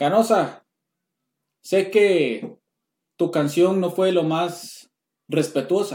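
Speaking at a very slow pace, a man with a Costa Rican accent leaves long, frequent pauses. His pitch is high, with ordinary variation. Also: very clean recording, silent background. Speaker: podcast host. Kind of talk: casual chat.

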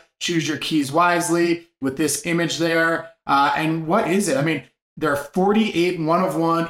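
A man's high-pitched voice. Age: 40s. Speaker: NFT market show host. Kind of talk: daily market news rundown. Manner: casual, filler-heavy delivery.

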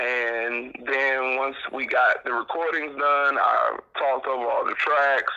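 Amid noticeable background noise, a man speaks at a very slow pace with hardly any pauses. His pitch is fairly high and his intonation monotone and flat. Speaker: DJ and entertainer. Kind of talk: casual interview chat.

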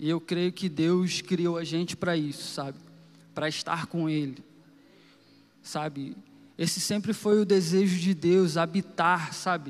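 With long, frequent pauses, a man speaks at a very slow pace in a high pitch with ordinary pitch variation. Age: 30s. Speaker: preacher. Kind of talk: sermon. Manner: informal, conversational.

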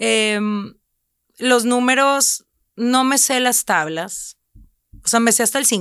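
In a very clean recording with a silent background, a woman with a high pitch talks very slowly, leaving long, frequent pauses and keeping her loudness very even. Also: ordinary pitch variation. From Mexico, Reynosa (Tamaulipas border). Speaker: food content creator and cookbook publisher. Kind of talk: casual chat.

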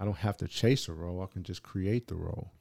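With a Southern California accent, a man talks at a fairly quick pace in a very deep, low, dark and mellow voice with ordinary pitch variation, recorded dry and close with no echo on a very clean recording with a silent background. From San Diego, California. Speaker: actor and director. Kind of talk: casual interview.

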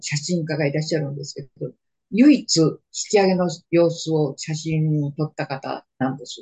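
The speaker sounds somewhat breathy and talks at a moderate pace, with big swings in loudness, ordinary pitch variation, and a dry, close sound with no echo. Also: woman. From Manchuria (northeast China). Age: 80s+. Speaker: war survivor and storyteller. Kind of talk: oral history interview. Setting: video call.

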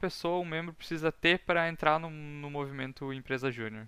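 A man speaks at a moderate pace with a bright, sharp tone and fairly high pitch. The recording is very clean with a silent background. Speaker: student podcast host. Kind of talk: casual chat.

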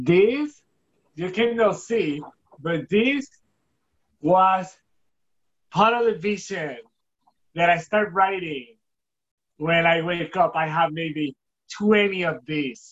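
A man with a Spanish accent, high-pitched and very slow, lively in intonation, with long, frequent pauses. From Puerto Rico. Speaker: filmmaker. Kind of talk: interview. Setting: video call.

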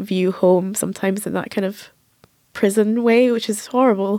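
A woman's medium-pitched voice with an Edinburgh accent, a dark, mellow tone and fairly even intonation. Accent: Edinburgh Scottish. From Edinburgh, Scotland. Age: 30s. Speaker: journalist and author. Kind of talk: roundtable discussion.

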